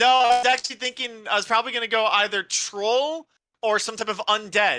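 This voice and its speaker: A man speaks fairly quickly in a raised, projected voice, high in pitch, with a bright, sharp tone and fairly even intonation. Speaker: tabletop game design podcaster. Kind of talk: casual chat. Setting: live stream. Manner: loud.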